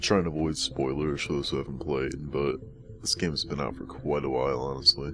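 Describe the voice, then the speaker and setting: The loudness swings widely over noticeable background noise. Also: man, very deep, low pitch for a man, fairly even intonation, fairly quick pace. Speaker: let's play gamer. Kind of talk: gameplay commentary. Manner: soft-spoken; monotone.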